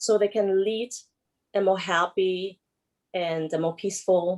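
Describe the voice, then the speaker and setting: A woman with a German accent at a medium pitch, speaking at a very slow pace. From Germany. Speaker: emotional release therapist. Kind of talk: panel discussion self-introduction. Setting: video call.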